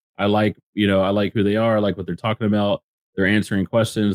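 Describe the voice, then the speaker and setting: The recording is dry and close, without any echo. The speaker is a man with an American accent. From Texas, Dallas-Fort Worth area. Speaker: NFT entrepreneur. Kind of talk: interview. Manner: animated.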